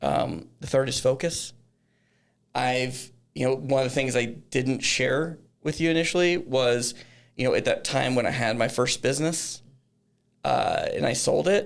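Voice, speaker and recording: A man speaks at a medium pitch with a slight Texan accent, ordinary pitch variation and very even loudness. His pace is fairly slow, broken by long, frequent pauses. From Texas, Dallas-Fort Worth area. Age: 40s. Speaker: business founder. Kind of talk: podcast interview. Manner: halting, many fillers and restarts.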